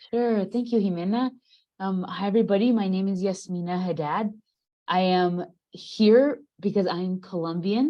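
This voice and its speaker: Here is a woman with a plain, everyday voice, medium in pitch. She speaks at a moderate pace with ordinary pitch variation. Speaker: panelist, former exchange student. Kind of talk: panel discussion on video call.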